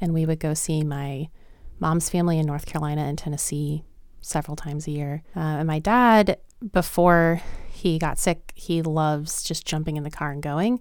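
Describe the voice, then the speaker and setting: The speaker has an American accent and keeps a moderate pace. Their intonation stays fairly even. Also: woman, very deep, low pitch for a woman. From US South, Lynchburg, Virginia. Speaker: teacher and homeschooling mom. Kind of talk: casual interview.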